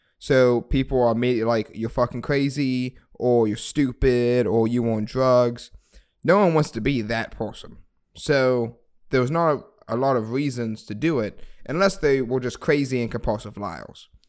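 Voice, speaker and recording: This man has an unremarkable speaking voice with an American accent and medium pitch. He keeps a moderate pace and ordinary pitch variation. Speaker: podcast co-host. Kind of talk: casual comedic chat. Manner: jokey, playful.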